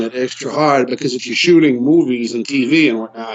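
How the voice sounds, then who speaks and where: This man's voice sits at a medium pitch with ordinary variation. Background noise is noticeable. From Quebec. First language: French. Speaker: wrestler and actor. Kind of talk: casual chat.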